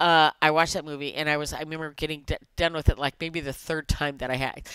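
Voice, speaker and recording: Speech at a fairly quick pace comes over a quiet background with a dry sound and no echo. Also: woman. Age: 60s. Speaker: vlogger. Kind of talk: casual chat. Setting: video recording. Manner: informal, rambling, filler words. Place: home room. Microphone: headset.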